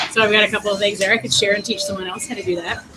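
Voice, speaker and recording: A fairly high-pitched woman's voice over noticeable background noise. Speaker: educator presenting to teachers. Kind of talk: short presentation in group video call.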